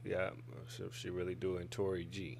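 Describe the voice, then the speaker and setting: A man with a Detroit accent speaks amid audible room echo. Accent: Midwest (Detroit). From Fort Worth, Texas. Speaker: rapper. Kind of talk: casual interview. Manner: laid back.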